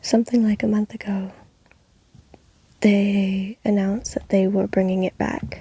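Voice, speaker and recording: This soft-spoken voice moves at a moderate pace. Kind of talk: ASMR soft-spoken ramble.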